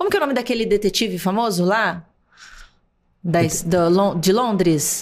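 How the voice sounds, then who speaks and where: Against a quiet background, a woman speaks at a moderate pace and medium pitch with ordinary variation, very even loudness, and long, frequent pauses. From Brazil. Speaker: actress and TV presenter; podcast guest, actress. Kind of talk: interview conversation. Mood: reflective, warm. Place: studio. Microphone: studio mic.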